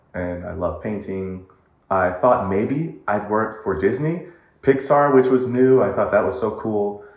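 A man with an American accent speaks at medium pitch with lively intonation. Room echo is audible. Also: fairly slow pace. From US West Coast, Pasadena, California. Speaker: vocal coach and singer. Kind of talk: casual interview.

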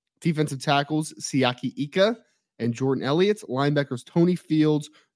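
A normal speaking voice comes from a man with a fairly high pitch and ordinary pitch variation, at a moderate pace. The recording is very clean, with a silent background. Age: 30s. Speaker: football analyst and podcast co-host. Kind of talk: casual sports betting chat.

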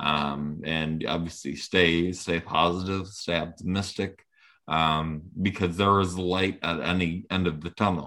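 A man's very deep, low voice with a bright, sharp tone, monotone, flat intonation and a Rhode Island accent. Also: fairly slow pace, very clean recording, silent background. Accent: New England (Rhode Island) American. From Rhode Island, Portsmouth. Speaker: former baseball player and high school coach. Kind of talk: interview. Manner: halting, many fillers.

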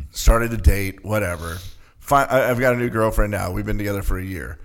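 An ordinary speaking voice from a man, fairly low in pitch, with ordinary pitch variation and big swings in loudness. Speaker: college sports arena announcer. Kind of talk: casual interview chat.

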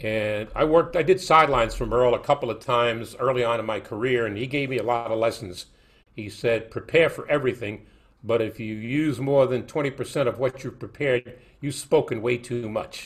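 This man talks rather briskly. He has a New York accent. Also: medium pitch for a man, ordinary pitch variation, very clean recording, silent background. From New York, Brooklyn. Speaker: sports broadcaster. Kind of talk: casual interview.

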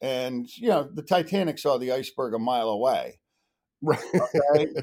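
Recorded very cleanly against a silent background, a man with a plain, everyday voice and a fairly high pitch speaks at a moderate pace. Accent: American. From New England (Connecticut/Massachusetts). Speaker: high school lacrosse coach. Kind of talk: casual interview.

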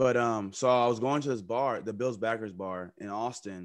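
On a very clean recording with a silent background, a man speaks in an unremarkable speaking voice with ordinary pitch variation. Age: 30s. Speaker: sports podcast co-host. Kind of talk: casual chat.

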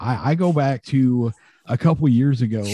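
The recording is very clean, and the background is silent. A man talks in a dark, mellow tone. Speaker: podcast host. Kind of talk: casual sports podcast discussion.

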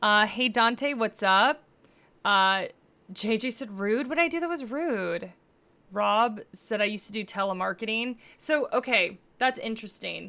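Over a silent background in a very clean recording, a woman speaks at a fairly slow pace with lively intonation and a fairly high pitch, a plain, everyday voice. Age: 30s. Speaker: podcaster and live streamer. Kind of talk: casual monologue on a livestream. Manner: casual, filler-heavy.

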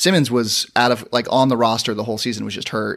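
A man with an American accent and a normal speaking voice, medium pitch, fairly even intonation and a moderate pace, on a very clean recording with a silent background. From San Diego, California. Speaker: sports podcast host. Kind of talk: casual chat.

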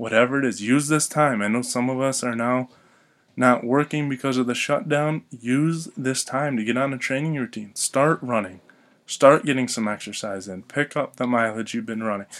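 Recorded very cleanly against a silent background, a man with an ordinary speaking voice and an American accent talks at a moderate pace in a medium pitch. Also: ordinary pitch variation. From Michigan. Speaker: podcast host and high school running coach. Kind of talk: solo podcast commentary.

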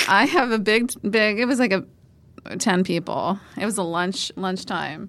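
A woman with a plain, everyday voice and an American accent speaks at medium pitch and a fairly slow pace. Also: ordinary pitch variation. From Pennsylvania, Northumberland County. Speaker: TV reporter. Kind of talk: casual chat.

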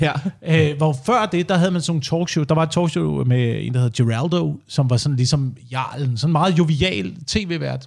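A somewhat breathy man's voice at a fairly high pitch, with lively intonation and a moderate pace. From Denmark, Slagelse area (Zealand). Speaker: radio host. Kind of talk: casual chat.

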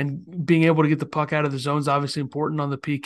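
Against a quiet background, a man talks at a very fast pace in a fairly high pitch. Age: 20s. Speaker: sports podcast co-host. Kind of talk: casual chat.

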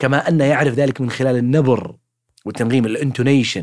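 At a fairly quick pace, a man with a medium-pitched voice talks on a very clean recording with a silent background. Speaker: podcast host, linguist. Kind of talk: casual educational monologue. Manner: spontaneous, conversational.

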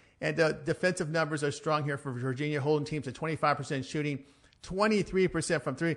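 With a fairly high voice, a man talks at a very fast pace. The background is quiet. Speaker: sports handicapper. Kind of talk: casual betting analysis.

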